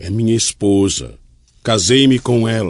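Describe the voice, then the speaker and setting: Speaking fairly slowly, a man puts on a character voice. His pitch is medium. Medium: read story. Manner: meek, stammering.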